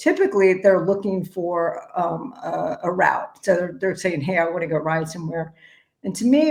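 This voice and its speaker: The pace is moderate. It is a normal speaking voice. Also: woman. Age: 60s. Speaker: executive director of a cycling nonprofit. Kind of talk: casual chat.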